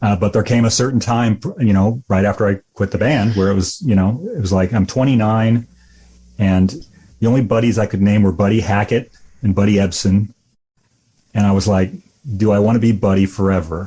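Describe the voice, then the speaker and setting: A man talks at a fairly quick pace in a fairly low pitch with a dark, mellow tone. His voice is somewhat breathy and his loudness is very even. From US Midwest, rural Illinois. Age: 50s. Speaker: musician. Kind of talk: podcast interview. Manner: halting.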